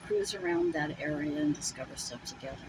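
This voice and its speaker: Through noticeable background noise comes a woman's voice with ordinary pitch variation. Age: 70s. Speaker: solo vlogger, RV traveller. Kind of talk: casual vlog monologue. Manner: rambling, hesitant with fillers.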